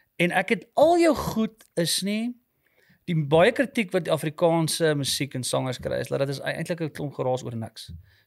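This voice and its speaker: A man speaks with a high pitch and very wide swings in it. The background is quiet. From South Africa, farm near Potchefstroom; South Africa. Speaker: podcast host. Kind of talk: casual chat. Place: studio. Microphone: studio mic.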